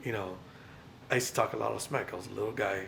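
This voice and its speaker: Speech comes at a fairly quick pace with audible room echo and noticeable background noise. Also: man. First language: Spanish. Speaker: vlogger. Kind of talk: personal vlog rant.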